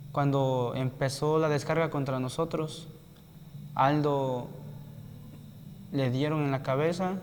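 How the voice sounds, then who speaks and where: Long, frequent pauses break up a man's very slow speech. His pitch is fairly high and his intonation fairly even. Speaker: student at a rural teacher-training college, attack survivor. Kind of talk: interview testimony.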